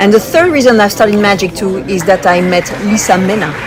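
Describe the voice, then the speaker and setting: Someone with a French accent talks at a fairly quick pace amid audible room echo and noticeable background noise. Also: woman. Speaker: magician. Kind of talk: interview. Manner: fast.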